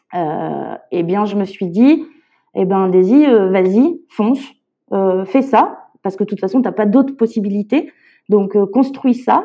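A woman's dark, mellow tone at a medium pitch, with lively intonation, a very slow pace and long, frequent pauses, over a quiet background. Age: 30s. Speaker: illustrator and parent carer. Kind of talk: testimony. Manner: halting.

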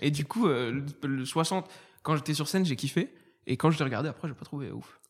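A somewhat breathy man with a fairly high pitch, at a moderate pace, in a very clean recording with a silent background. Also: ordinary pitch variation. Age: 20s. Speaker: stand-up comedian. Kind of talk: casual chat.

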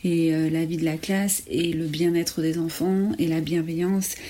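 A woman talks in a normal speaking voice. Her pitch is fairly low and her intonation fairly even. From France, Ardèche. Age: 30s. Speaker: primary school teacher and headteacher. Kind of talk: testimony.

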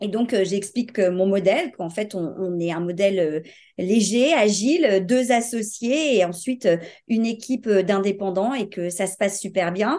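Against a quiet background, a dark, mellow voice moves at a fairly slow pace with ordinary pitch variation. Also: woman, medium pitch for a woman. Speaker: business owner. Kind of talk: interview.

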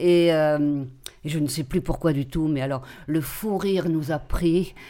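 A woman speaks at a very slow pace with a very deep, low pitch and a dark, mellow tone. Her pitch varies in an ordinary way. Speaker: retired teacher, drama teacher. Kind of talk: casual chat.

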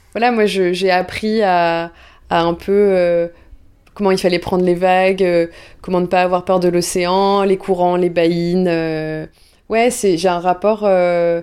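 At a very slow pace, a woman speaks in a monotone, flat intonation with very even loudness, in a very clean recording with a silent background. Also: medium pitch for a woman. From southwestern France, Bordeaux. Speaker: content creator. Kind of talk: casual interview. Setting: at home.

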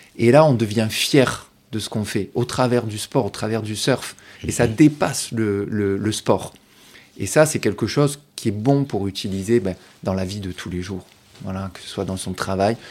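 A man with a fairly low pitch and ordinary pitch variation speaks at a moderate pace, with big swings in loudness. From southern France, Provence coast (Martigues). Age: 40s. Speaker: para-surfer and speaker. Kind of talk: interview. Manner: halting, many repetitions.

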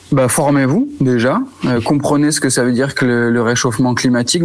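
With noticeable background noise behind him, a man talks at a medium pitch and a moderate pace, with fairly even intonation. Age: 30s. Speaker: store manager. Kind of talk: interview.

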